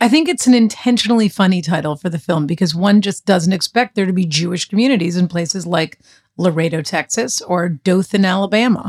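Somewhat breathy and medium in pitch, a woman with an American accent talks at a fairly quick pace with ordinary pitch variation, in a dry, close recording with no echo. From Boston area. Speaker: podcast co-host. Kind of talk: scripted narration.

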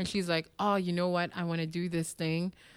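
A woman speaks in a Quebec accent with a fairly low pitch, captured on a very clean recording with a silent background. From Montreal, Quebec (Parc-Extension), Haitian family. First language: French. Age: 30s. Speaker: TV host and producer. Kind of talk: interview. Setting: stage with audience. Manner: animated.

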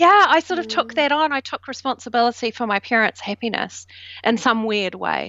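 With a New Zealand accent, a woman talks at a fairly quick pace in a fairly high pitch, her intonation lively. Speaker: self doubt coach. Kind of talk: interview conversation.

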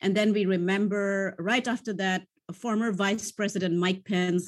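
A woman speaks at a moderate pace and a medium pitch. Hers is an unremarkable speaking voice. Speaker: space policy scholar. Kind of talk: panel discussion.

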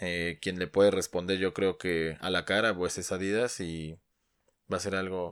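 A man with a very deep, low pitch speaks at a moderate pace with fairly even intonation. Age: 30s. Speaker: sneaker podcast co-host. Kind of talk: casual chat.

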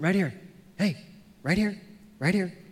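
A high-pitched male voice with an American accent and audible room echo. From San Francisco, US West Coast. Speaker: pastor. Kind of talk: sermon. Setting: church. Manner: animated.

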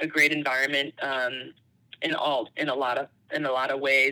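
In a bright, sharp tone, a woman talks at a moderate pace with monotone, flat intonation. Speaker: college basketball head coach. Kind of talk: interview. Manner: halting, many fillers; quiet.

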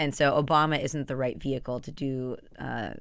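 This woman's voice sits very deep and low, with vocal fry and ordinary pitch variation. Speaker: TV news show host. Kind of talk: casual interview chat.

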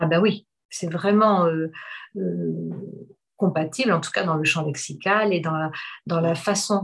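A woman's somewhat breathy, fairly low voice at a very slow pace, with long, frequent pauses. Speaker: hypnotherapist. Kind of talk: casual chat.

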